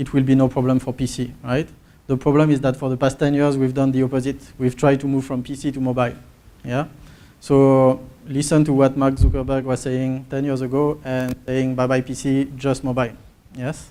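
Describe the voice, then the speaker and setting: A French accent and a dark, mellow tone. The delivery is fairly quick and monotone, with flat intonation. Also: man, medium pitch for a man. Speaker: market research presenter. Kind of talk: conference presentation.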